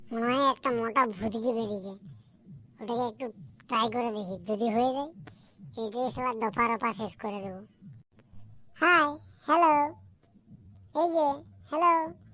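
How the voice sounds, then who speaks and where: A woman does a cartoonish character voice with a fairly high pitch. She keeps a moderate pace and ordinary pitch variation. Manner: wheedling, cheeky.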